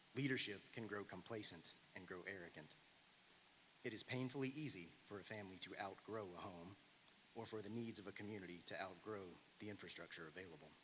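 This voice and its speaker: A man with an American accent and a normal speaking voice, fairly low in pitch, with ordinary pitch variation and a fairly quick pace. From US South. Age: 30s. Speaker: public commenter. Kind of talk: prepared public comment speech. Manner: formal.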